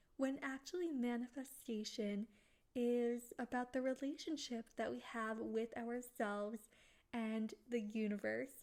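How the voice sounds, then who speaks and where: A woman's high-pitched voice at a fairly slow pace. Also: ordinary pitch variation. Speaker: podcast host and author. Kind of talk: casual solo podcast talk. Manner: some pauses.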